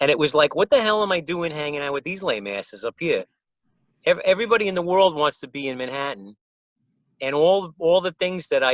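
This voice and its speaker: A man with a New York accent talks at a fairly quick pace in a high pitch, with very wide pitch swings and long, frequent pauses. The sound is dry and close, with no echo. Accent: Bronx New York. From New York, the Bronx. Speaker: musician. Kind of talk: casual chat. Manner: animated.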